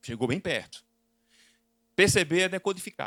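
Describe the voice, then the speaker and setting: A man in a Recife accent, with vocal fry, lively intonation, and a dry, close sound with no echo. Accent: Northeastern Brazilian (Recife). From Brazil, Northeast (Recife). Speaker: business consultant and lecturer. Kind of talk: conference talk. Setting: stage with audience. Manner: interactive, questioning the audience.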